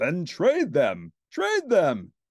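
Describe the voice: In a put-on character voice, a man speaks at a very slow pace with a fairly high pitch and very wide pitch swings. The sound is dry and close, with no echo. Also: very clean recording, silent background.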